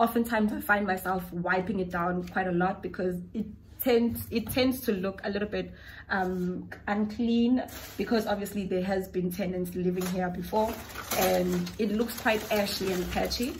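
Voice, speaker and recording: A woman speaks at a moderate pace. There is light background noise. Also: fairly even intonation. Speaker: home vlogger. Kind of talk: casual vlog chat. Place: kitchen. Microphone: phone near.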